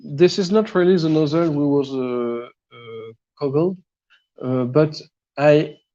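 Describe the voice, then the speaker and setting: A man with a French accent speaks at a fairly slow pace in a dark, mellow tone, his fairly high pitch moving with ordinary variation over a quiet background. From France. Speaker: 3D printing hobbyist. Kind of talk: technical explanation on a live show. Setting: live video stream. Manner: halting, many fillers and repeats.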